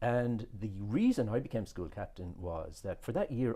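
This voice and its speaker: Here is a man with an Irish accent, a medium pitch and a dark, mellow tone. His somewhat breathy delivery moves at a moderate pace with lively intonation. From southern Ireland (Cork), moved to Australia at 14. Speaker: businessman, podcast guest. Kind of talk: interview conversation. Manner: halting, with many repeated words.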